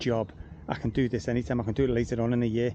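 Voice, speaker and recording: A man talks at a very fast pace. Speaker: gardener. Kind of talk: casual vlog commentary. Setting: outdoors. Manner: soft-spoken. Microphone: too quiet, picks up surrounding noise.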